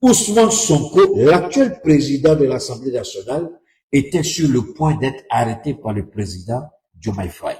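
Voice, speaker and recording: This man's voice is fairly high, with a dark, mellow tone and vocal fry. He moves at a fairly slow pace, his pitch swinging very widely. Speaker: political commentator. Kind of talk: livestream commentary.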